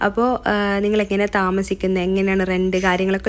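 A woman at a medium pitch. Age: 20s. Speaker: lifestyle vlogger. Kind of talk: vlog narration.

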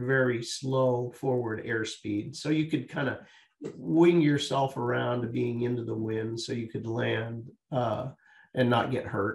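A man speaks at a fairly slow pace with somewhat breathy delivery. His intonation stays fairly even. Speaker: guest. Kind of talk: interview answer, storytelling. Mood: warm, smiling, anecdotal. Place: home room. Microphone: video call.

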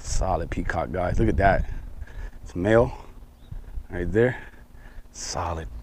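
A man talks at a fairly slow pace in a low-pitched voice with a slightly mellow tone and ordinary pitch variation.

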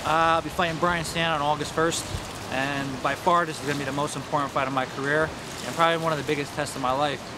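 A man at a very fast pace, dry sound with no echo, noticeable background noise. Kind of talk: interview answer. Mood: serious, determined. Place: waterside.

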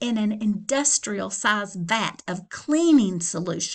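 Lively intonation runs through it. The delivery is plain reading aloud.

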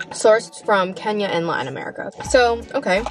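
A woman at a moderate pace, dry sound with no echo, faint music in the background. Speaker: vlogger. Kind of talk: casual vlog chat, food review. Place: car. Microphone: phone near.

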